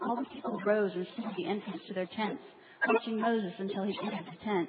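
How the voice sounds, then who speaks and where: Very fast speech from a woman with a fairly high pitch, over noticeable background noise. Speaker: congregation member. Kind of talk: scripture reading.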